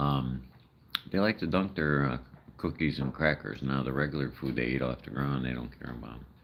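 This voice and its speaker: Over noticeable background noise, a man with a very deep, low pitch speaks at a fairly quick pace. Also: ordinary pitch variation. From Chicago, US Midwest. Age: 60s. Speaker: live streamer feeding raccoons. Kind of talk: casual live-stream chat. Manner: rambling, halting.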